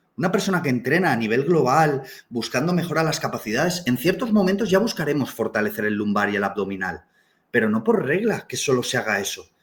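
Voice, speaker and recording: The speaker talks at a very fast pace and sounds somewhat breathy. The pitch swings very widely. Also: man, fairly high pitch for a man. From Canary Islands, Tenerife. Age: 30s. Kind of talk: live online talk. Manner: animated.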